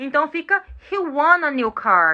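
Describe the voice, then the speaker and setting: A woman's high, raised and projected voice, bright and sharp in tone and animated. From Brazil. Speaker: English teacher. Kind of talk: live online lesson.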